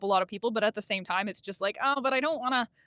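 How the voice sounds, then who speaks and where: A very fast woman's voice, fairly high in pitch with ordinary pitch variation, in a dry, close sound with no echo over noticeable background noise. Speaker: podcast host and equestrian physio. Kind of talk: casual monologue. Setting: in a car.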